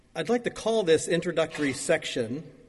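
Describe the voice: A man at a fairly high pitch, with lively intonation, a fairly quick pace, and a slightly husky edge.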